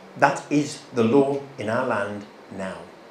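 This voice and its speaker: A British accent against noticeable background noise, with audible room echo. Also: man. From England. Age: 50s. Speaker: guest speaker at a church. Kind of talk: church talk. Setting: stage with audience at a church. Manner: animated.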